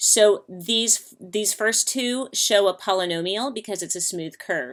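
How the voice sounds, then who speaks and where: In a very clean recording with a silent background, a woman with an unremarkable speaking voice speaks at a moderate pace, her pitch fairly high and its variation ordinary. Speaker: math teacher. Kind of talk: lecture.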